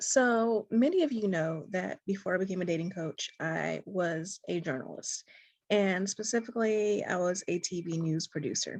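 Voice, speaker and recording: Soft-spoken at a moderate pace with ordinary pitch variation, the voice sounds dry and close with no echo, over a quiet background. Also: woman, medium pitch for a woman. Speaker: dating coach. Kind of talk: talk to camera.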